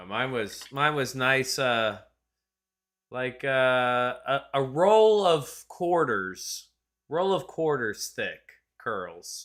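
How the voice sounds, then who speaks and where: In an American accent, a man speaks at a very slow pace and medium pitch with very wide pitch swings. The recording is very clean, with a silent background. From southeastern US. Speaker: sim racing stream host. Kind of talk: casual chat. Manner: animated.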